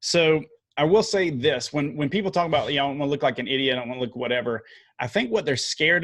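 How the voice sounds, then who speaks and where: Lively intonation with a Southern US accent on a very clean recording with a silent background. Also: man. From US South. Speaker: video marketing coach. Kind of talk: podcast interview. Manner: casual, many fillers.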